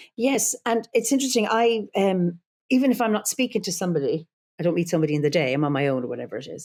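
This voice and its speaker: A woman with an Irish accent at a very fast pace, medium in pitch, with very wide pitch swings. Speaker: druid leader and psychologist. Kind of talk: podcast interview.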